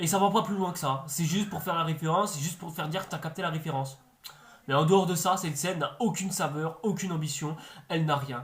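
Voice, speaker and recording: Audible room echo surrounds a very fast, animated delivery. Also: man, high pitch for a man. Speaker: YouTube film and series reviewer. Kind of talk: video review commentary. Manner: animated, exasperated.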